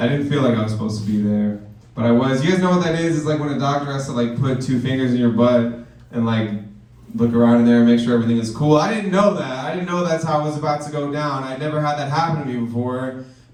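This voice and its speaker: A man talks very fast in an animated tone at a medium pitch with ordinary pitch variation, while audible room echo and noticeable background noise fill the recording. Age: 20s. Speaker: stand-up comedian. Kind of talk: stand-up. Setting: stage with audience.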